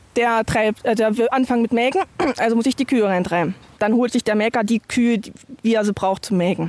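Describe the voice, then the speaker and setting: A woman's fairly high voice, dry and close with no echo, at a fairly quick pace, with ordinary pitch variation and very even loudness. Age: 30s. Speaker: farmer. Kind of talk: casual chat. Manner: halting.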